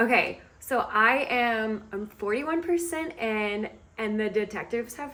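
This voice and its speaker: Fairly slow speech from a woman with a fairly high pitch and lively intonation, over noticeable background noise. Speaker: book vlogger. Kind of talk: casual reading vlog narration. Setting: in a car.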